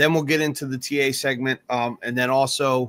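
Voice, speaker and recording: Speaking at a fairly quick pace, a man has a bright, sharp tone in a dry, close recording with no echo. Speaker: crypto live stream co-host. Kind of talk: casual live stream chat. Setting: live stream. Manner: casual, animated.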